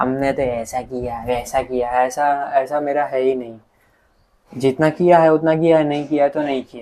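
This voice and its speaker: Fairly high-pitched for a man, this voice has a dark, mellow tone and monotone, flat intonation. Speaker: youtuber. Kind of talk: personal vlog monologue. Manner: calm, soft-spoken.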